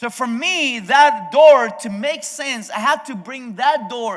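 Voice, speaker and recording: At a fairly slow pace, a man talks with lively intonation. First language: Spanish. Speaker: pastor. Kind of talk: sermon. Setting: video sermon from abroad. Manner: halting, frequent self-corrections.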